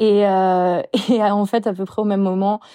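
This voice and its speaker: A woman speaks in a dark, mellow tone, the sound dry and close with no echo and the background quiet. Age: 30s. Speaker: t-shirt brand creator. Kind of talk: casual interview chat.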